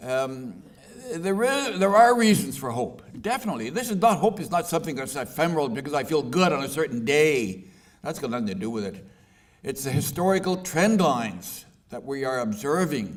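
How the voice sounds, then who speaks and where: Audible room echo surrounds a man with a Canadian accent whose fairly high voice makes very wide pitch swings. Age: 80s+. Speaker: author and peace activist. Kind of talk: book launch talk.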